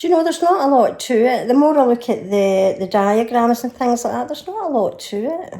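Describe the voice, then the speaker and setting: A woman with a Scottish accent, a high pitch and a dark, mellow tone, at a fairly quick pace with hardly any pauses. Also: lively intonation. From Scotland. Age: 60s. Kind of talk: casual talk to camera.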